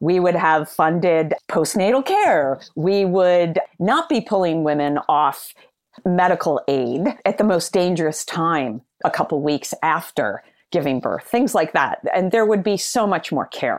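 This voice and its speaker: On a very clean recording with a silent background, a woman speaks at a fairly slow pace with very even loudness. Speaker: psychologist and psychoanalyst author. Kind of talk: interview conversation.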